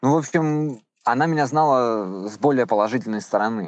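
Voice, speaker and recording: A man with a normal speaking voice at a moderate pace against a quiet background. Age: 30s. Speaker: former prisoner. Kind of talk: testimony. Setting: phone call; outdoors.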